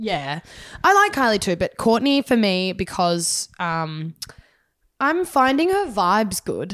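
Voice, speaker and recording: A woman speaks at a very slow pace with a fairly high pitch. Her voice moves in very wide pitch swings. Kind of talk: casual chat. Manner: talks over others.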